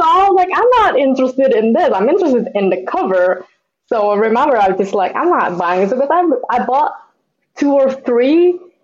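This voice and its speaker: A woman's high-pitched voice with very wide pitch swings, at a moderate pace. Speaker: comic book artist. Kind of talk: casual conversation interview.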